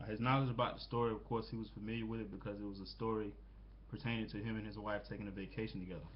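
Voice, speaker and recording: A man with an American accent at a very fast pace, with audible room echo. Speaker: student. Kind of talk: peer critique presentation. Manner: halting, many fillers.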